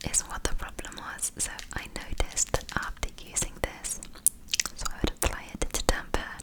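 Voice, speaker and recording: A woman is whispering at a fairly slow pace. Noticeable background noise can be heard behind her. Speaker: ASMR content creator. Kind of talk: ASMR product review, casual rambling to camera. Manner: whispered, close-up.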